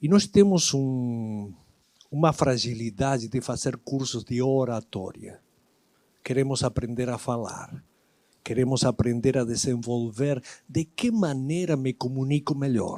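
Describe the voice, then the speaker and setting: A man's dark, mellow voice at a medium pitch, with an Argentine accent and a fairly slow pace. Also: ordinary pitch variation. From Argentina, Buenos Aires. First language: Spanish (speaking Portuguese). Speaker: lecturer. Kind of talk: lecture.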